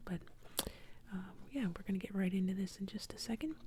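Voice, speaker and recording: The voice is soft-spoken and whispering. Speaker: ASMR artist. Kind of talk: ASMR drawing narration. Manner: whispered, soft-spoken.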